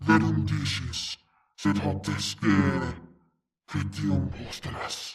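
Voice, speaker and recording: Growling in a put-on character voice, a man with a very deep, low pitch speaks at a very slow pace with long, frequent pauses. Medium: video game. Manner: solemn, ritual.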